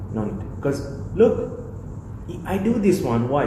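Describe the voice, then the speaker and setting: Amid noticeable background noise and audible room echo, a man with a non-native accent speaks with very wide pitch swings. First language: not English. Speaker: mentor and scholarship founder. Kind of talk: interview conversation.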